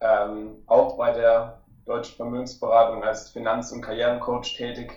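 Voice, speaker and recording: A man talking at a fairly slow pace, with big swings in loudness. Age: 20s. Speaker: financial coach, recent graduate. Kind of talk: casual interview.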